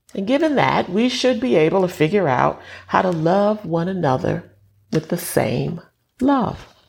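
With an American accent, a woman talks at a fairly slow pace in a fairly low pitch, showing vocal fry and very wide pitch swings. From New York, Southern parents. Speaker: preacher. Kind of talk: sermon.

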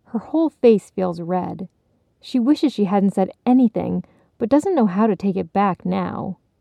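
Lively intonation from a natural reading voice, quiet background behind it

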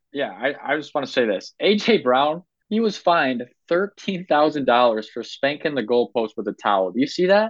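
A man's fairly high voice swings very widely in pitch as he talks at a moderate speed. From Ohio. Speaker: sports podcast host. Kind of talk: casual chat. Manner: animated.

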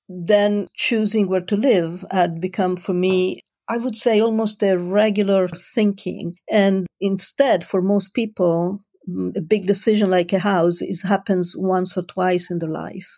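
Medium-pitched and dark, mellow in tone, a woman speaks with an Italian accent. She goes at a fairly slow pace with fairly even intonation, in a very clean recording with a silent background. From Italy. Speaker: life coach. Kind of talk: interview.

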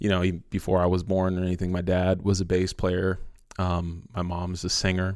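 In a very clean recording with a silent background, a man with an American accent speaks monotone and flat at a very deep, low pitch and a fairly quick pace. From San Francisco, California. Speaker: musician and worship leader. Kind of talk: casual interview chat.

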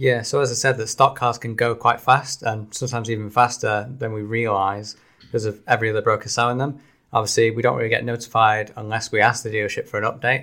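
Speaking very fast in a Manchester accent, a man has a bright, sharp tone and a monotone, flat intonation. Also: medium pitch for a man, very clean recording, silent background. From Salford, Greater Manchester. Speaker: car leasing deals presenter. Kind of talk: casual chat.

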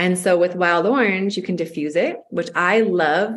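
A woman's plain, everyday voice, fairly low in pitch, with ordinary pitch variation and a moderate pace. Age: 30s. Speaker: podcast co-host. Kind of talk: casual chat.

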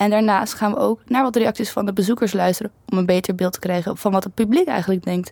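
A woman talks at a very fast pace, her voice dry and close with no echo. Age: 20s. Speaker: student podcast co-host. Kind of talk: casual chat.

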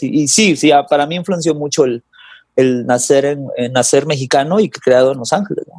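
Talking at a moderate pace, a man has a fairly high pitch. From Mexico (Guadalajara) then Los Angeles from age 10. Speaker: singer-songwriter and guitarist. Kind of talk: casual interview chat.

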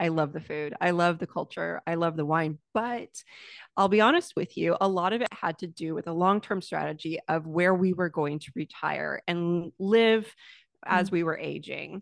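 Recorded dry and close with no echo over a quiet background, a woman with an American accent and an unremarkable speaking voice talks at a moderate pace, her pitch fairly low and its variation ordinary. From United States. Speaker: entrepreneur and lifestyle creator. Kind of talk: interview conversation.

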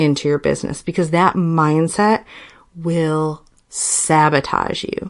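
Against a quiet background, a woman with a fairly low pitch speaks at a fairly slow pace in an enthusiastic tone. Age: 30s. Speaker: podcast host and wedding business coach. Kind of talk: solo podcast monologue; promotional pitch.

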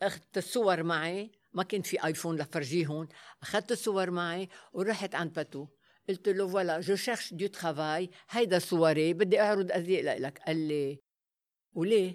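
The speaker has a Lebanese accent. The recording is very clean, with a silent background. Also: moderate pace. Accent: Lebanese Arabic with French code-switching. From Lebanon, Beirut. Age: 80s+. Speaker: former fashion model. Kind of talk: interview. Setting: stage with audience.

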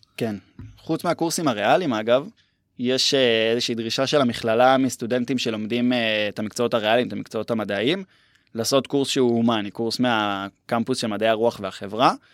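In a very clean recording with a silent background, a man with a normal speaking voice talks at a fairly quick pace, medium in pitch with ordinary pitch variation. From central Israel (Herzliya). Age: 20s. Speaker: university student. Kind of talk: casual interview.

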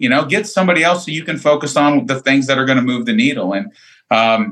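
A man with a normal speaking voice, fairly high in pitch, at a fairly quick pace. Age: 40s. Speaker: lawn care business owner. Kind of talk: casual chat.

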